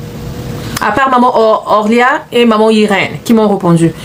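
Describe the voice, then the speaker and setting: Noticeable background noise surrounds a woman whose voice has a fairly high pitch. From Central Africa, neighbouring Gabon. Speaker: business coach. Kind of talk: live stream talk to viewers. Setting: live stream. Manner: repetitive, code-switching French and English.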